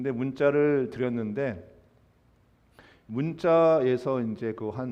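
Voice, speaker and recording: A man is speaking. Audible room echo follows his voice. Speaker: pastor. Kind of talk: sermon. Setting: church. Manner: halting, many fillers.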